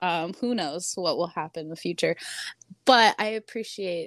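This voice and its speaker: A woman's fairly low voice, an ordinary speaking voice with ordinary pitch variation at a moderate pace, dry and close with no echo in a very clean recording with a silent background. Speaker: author and artist. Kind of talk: casual chat. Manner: rambling, filler-heavy.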